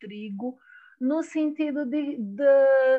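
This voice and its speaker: The speaker has a Brazilian accent. The pace is very slow. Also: woman. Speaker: poet and anthology editor. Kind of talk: poetry reading; interview conversation.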